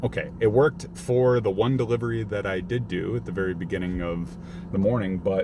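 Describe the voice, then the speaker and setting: A man's pitch swings very widely as he talks at a moderate pace amid noticeable background noise. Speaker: delivery driver vlogger. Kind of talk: casual vlog rant. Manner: halting, stuttering.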